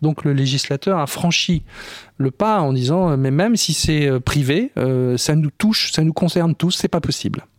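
A man speaks in an ordinary speaking voice at a fairly slow pace, pitched fairly high with ordinary pitch variation. His loudness stays very even, and the sound is dry and close with no echo. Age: 60s. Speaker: film director. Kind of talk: interview.

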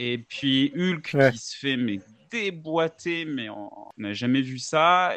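A man with a plain, everyday voice speaks with ordinary pitch variation. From Switzerland, Geneva. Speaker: podcast co-host. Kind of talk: casual chat.

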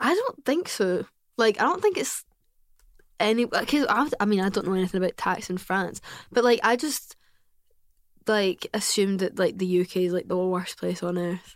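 In a Glasgow accent, a woman talks at a medium pitch and a moderate pace. Her pitch varies in an ordinary way, and her pauses are long and frequent. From Scotland, Glasgow. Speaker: podcaster. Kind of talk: casual chat.

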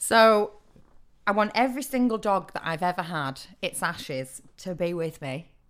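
In a northern English accent, a woman speaks at a medium pitch and moderate pace. Her intonation is lively. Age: 30s. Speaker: actor and comedy writer. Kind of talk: casual chat.

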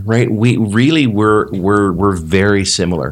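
On a very clean recording with a silent background, a man with a Canadian accent uses ordinary pitch variation. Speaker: business coach. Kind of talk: interview. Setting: live event.

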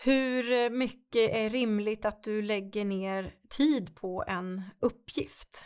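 A woman speaks at a very slow pace with hardly any pauses. Her fairly high voice shows ordinary pitch variation. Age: 50s. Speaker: podcast host and coach. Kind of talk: workshop-style podcast talk.

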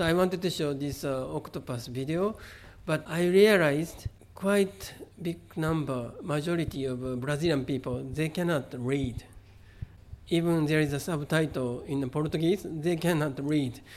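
Pitched fairly high, a man talks with a Japanese accent. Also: ordinary pitch variation, moderate pace. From Japan, Kobe. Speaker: artist. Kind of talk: interview. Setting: exhibition venue. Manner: halting.

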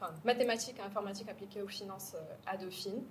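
A woman's medium-pitched voice, with audible room echo and noticeable background noise. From Morocco, Casablanca. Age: 30s. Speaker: startup co-founder. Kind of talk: interview.

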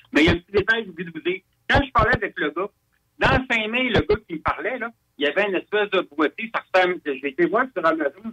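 Raising and projecting his voice, a man speaks fairly quickly in a high, bright, sharp tone with very wide pitch swings, recorded dry and close with no echo. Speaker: UFO witness. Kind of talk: testimony. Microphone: crackly, too loud.

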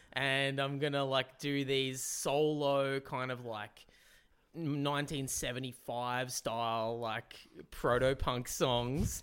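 Very slowly, a man speaks at a medium pitch in a flat, monotone way. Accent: Australian. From Newcastle, Australia. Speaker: comedian and musician. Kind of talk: casual chat.

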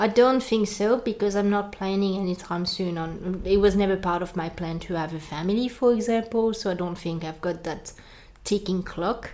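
The voice carries a French accent and a dark, mellow tone. It moves at a moderate pace with ordinary pitch variation. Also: woman, medium pitch for a woman. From France. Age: 30s. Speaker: immigrant sharing her experience. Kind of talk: casual interview chat.

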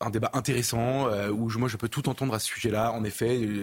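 A somewhat breathy quality marks this man's voice. It sits at a medium pitch. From Paris region, France. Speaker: journalist, newspaper editor. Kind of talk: televised debate.

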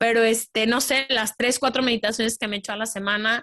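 In a quiet background, a woman's fairly high voice comes through with a bright, sharp tone. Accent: Guadalajara. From Mexico, Guadalajara. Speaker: podcaster, former photographer. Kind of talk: interview conversation.

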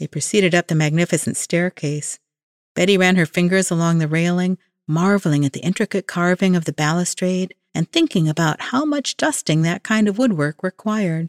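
A woman with a plain, everyday voice speaks at a fairly quick pace in a fairly low pitch with ordinary pitch variation, recorded very cleanly against a silent background with a dry, close sound and no echo. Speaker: horror author. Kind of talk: reading aloud.

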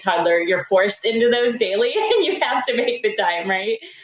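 A woman with an American accent, very fast, with ordinary pitch variation amid noticeable background noise. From rural US. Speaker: startup co-founder. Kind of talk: interview.

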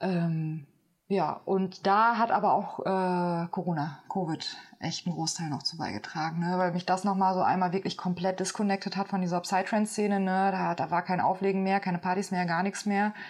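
A woman's medium-pitched voice moves at a moderate pace, its intonation monotone and flat. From Germany. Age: 30s. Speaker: medicine woman and sound healer. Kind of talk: interview, casual chat. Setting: inside a cave. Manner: hesitant, many fillers.

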